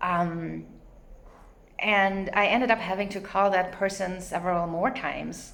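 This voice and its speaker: A woman speaks at a fairly slow pace in a non-native accent, her medium-pitched voice carrying audible room echo. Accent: noticeable non-native English. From not US or Canada. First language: not English. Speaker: vlogger. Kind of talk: casual monologue. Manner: hesitant, many fillers.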